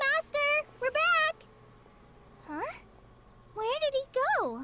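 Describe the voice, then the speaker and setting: An extremely high, squeaky put-on character voice at a very slow pace. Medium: video game. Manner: nervous, hesitant.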